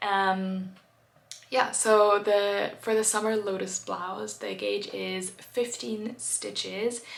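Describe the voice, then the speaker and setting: A woman with a German accent speaks at a very slow pace, with audible room echo. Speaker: knitting vlogger. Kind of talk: casual video chat. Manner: hesitant, many fillers.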